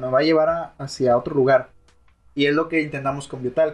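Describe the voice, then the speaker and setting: The man has a fairly high pitch. His intonation is monotone and flat. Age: 20s. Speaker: university student podcast co-host. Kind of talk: casual chat.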